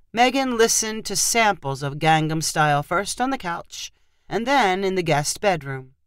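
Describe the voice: Someone reads aloud plainly, the intonation rising and falling in a lively way.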